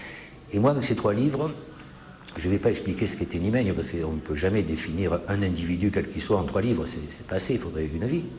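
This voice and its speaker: With a very deep, low pitch and lively intonation, a man talks at a fairly quick pace amid noticeable background noise and audible room echo. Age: 60s. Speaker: author. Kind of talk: interview.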